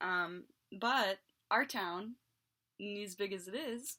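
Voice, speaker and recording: A woman speaks in a bright, sharp tone at a medium pitch, with an American accent. The recording is very clean, with a silent background. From West Virginia, Morgan County. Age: 20s. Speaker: YouTuber. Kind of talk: casual storytelling monologue.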